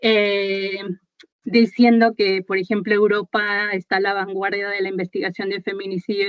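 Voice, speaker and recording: A woman talks at a moderate pace and medium pitch with fairly even intonation. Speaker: researcher. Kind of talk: lecture. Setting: video call. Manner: halting.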